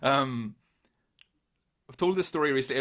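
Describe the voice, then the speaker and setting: In a Northern Irish accent, the speech races at a very fast pace with ordinary pitch variation on a very clean recording with a silent background. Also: man. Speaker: podcast host and drummer. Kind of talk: casual interview chat; solo video intro. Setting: outdoors for the intro. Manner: casual, some stammering repeats.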